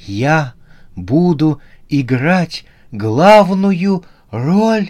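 A man's put-on character voice, shaky and fairly high in pitch, very slow, with very wide pitch swings. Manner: trembling voice.

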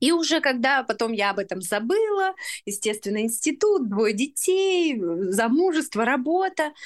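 At a moderate pace, a woman with a high pitch speaks with very wide pitch swings. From Russia, Urals (Chelyabinsk region). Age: 30s. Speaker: women's community founder. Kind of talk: interview.

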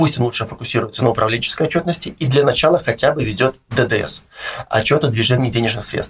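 A man talks at a very fast pace, somewhat breathy. His pitch is medium, with ordinary variation. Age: 30s. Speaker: finance consultant. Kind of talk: interview.

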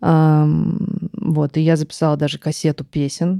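In a dry, close recording with no echo, a woman speaks with a very deep, low pitch, a dark, mellow tone and fairly even intonation. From Western Siberia, Russia. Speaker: musician and songwriter. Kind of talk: casual interview conversation.

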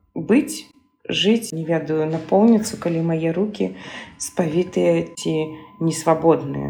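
A woman's fairly slow speech plays out with music behind it. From Belarus, Minsk. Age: 40s. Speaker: gestalt therapist. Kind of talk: recorded monologue.

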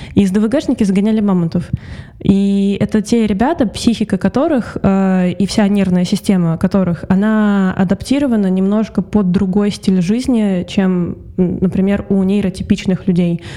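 Noticeable background noise sits behind a woman speaking at a moderate pace and medium pitch. Her loudness stays very even and her intonation fairly even. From Russia, Saint Petersburg. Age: 20s. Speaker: voice actress. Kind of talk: interview.

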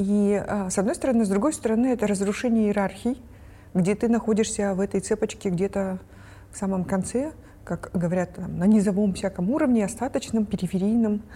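A woman's somewhat breathy, dark, mellow voice at a medium pitch, ordinary in its pitch variation, at a fairly quick pace. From Kyrgyzstan. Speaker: researcher. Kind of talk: casual panel discussion.

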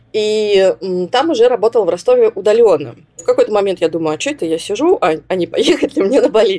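A woman speaks at a very fast pace in a dark, mellow tone, her fairly high pitch swinging very widely. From southern Russia, Rostov-on-Don. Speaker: psychologist. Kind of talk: interview.

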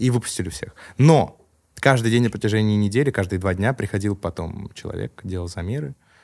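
In a normal speaking voice, a man talks at a fairly quick pace, his fairly low pitch showing ordinary variation. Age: 20s. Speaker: rapper and confectionery business owner. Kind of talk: casual chat.

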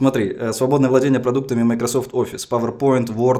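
At a very fast pace, a man talks at medium pitch. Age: young. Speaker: comedian co-host. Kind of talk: comedic interview.

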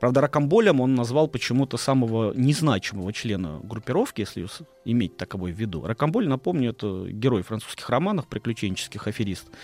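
A man talks very fast at a medium pitch with lively intonation. The sound is dry and close, with no echo. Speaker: historian. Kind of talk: storytelling on radio. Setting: studio.

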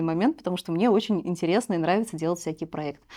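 The tone is dark and mellow, with ordinary pitch variation. Words come at a very fast pace. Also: woman. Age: 30s. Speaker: blogger and mother of two. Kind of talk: casual interview chat.

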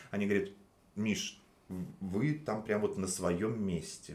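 With lively intonation and a fairly low pitch, a man talks at a moderate pace amid audible room echo. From Russia, Nizhny Novgorod. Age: 30s. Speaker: waiter. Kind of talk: casual interview chat. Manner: hesitant, many fillers.

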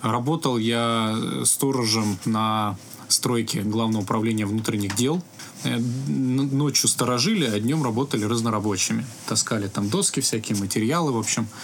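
Amid noticeable background noise, a man speaks at a moderate pace and medium pitch, with ordinary pitch variation and very even loudness. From Russia, Altai Krai (Biysk). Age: 30s. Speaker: IT company founder. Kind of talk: interview.

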